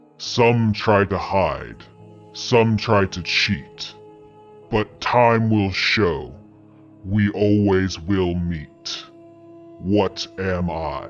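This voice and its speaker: Putting on a character voice over clear background music, a man with a fairly low pitch speaks very slowly, leaving long, frequent pauses. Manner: ominous riddling.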